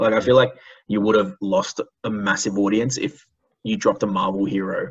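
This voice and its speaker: A man's ordinary speaking voice, fairly low in pitch, at a fairly quick pace with ordinary pitch variation. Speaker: podcast co-host. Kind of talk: casual chat.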